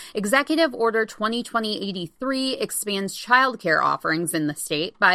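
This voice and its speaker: Against a quiet background, a woman uses lively intonation in a bright, sharp tone at medium pitch. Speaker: news host. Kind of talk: news reading. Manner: formal; steady, even.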